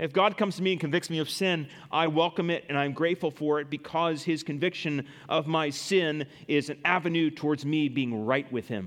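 A man with a plain, everyday voice talks at a fairly quick pace. His pitch is fairly high, with ordinary variation. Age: 30s. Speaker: pastor. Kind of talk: sermon. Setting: church.

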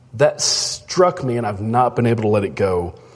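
With very wide pitch swings, a man speaks fairly slowly beneath noticeable background noise. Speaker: preacher. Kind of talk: sermon.

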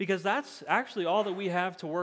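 With an American accent, a man speaks at a moderate pace and a high pitch. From US Midwest (Iowa, then Missouri). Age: 30s. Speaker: pastor. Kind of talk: sermon.

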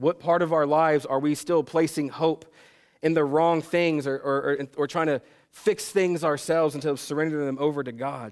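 An ordinary speaking voice at a moderate pace, with fairly even intonation. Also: man, fairly high pitch for a man. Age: 30s. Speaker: pastor. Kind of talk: sermon.

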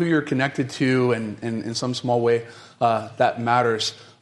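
Audible room echo surrounds a man with an American accent talking at a moderate pace. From US South, North Carolina. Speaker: pastor. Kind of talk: sermon. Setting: church.

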